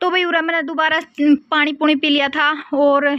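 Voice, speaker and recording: A woman's raised, projected voice at a moderate pace, in monotone, flat intonation. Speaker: vlogger. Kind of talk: casual vlog narration.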